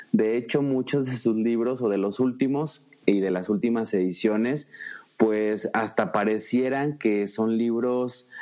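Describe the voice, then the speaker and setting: A man speaks at a fairly slow pace with a dark, mellow tone. His pitch varies in an ordinary way. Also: medium pitch for a man. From Mexico, Zacatecas. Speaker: marketing consultant and speaker. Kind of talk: interview.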